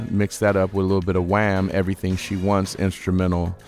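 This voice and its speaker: A man with a very deep, low voice and an animated, upbeat tone, with music in the background. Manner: animated, laid-back and hip, slangy, upbeat and chatty.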